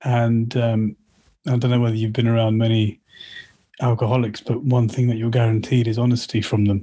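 A man's monotone, flat delivery at a fairly quick pace, with a southern English accent, medium pitch and very even loudness. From Slough, England. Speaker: collector of Sikh art and artefacts. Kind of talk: casual interview. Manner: halting, many fillers and repeats.

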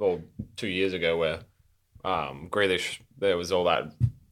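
Words come at a fairly quick clip. The tone sounds bright and sharp. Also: man. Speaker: podcast co-host. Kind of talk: casual banter.

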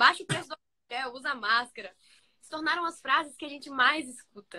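A woman's bright, sharp tone at a moderate pace. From Bahia, Brazil. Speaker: youth speaker and social media creator. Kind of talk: sermon.

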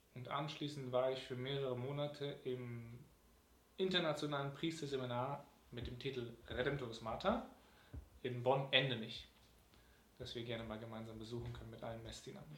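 A man at medium pitch talks at a moderate pace with fairly even intonation, long, frequent pauses and big swings in loudness, heard through audible room echo and noticeable background noise. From Germany, Cologne. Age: 20s. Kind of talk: interview.

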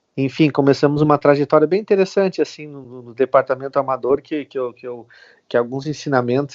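A man speaks at a medium pitch. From Rio Grande do Sul, Brazil (Venâncio Aires). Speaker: TV sports reporter, former youth footballer. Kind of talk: casual interview. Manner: halting, many fillers.

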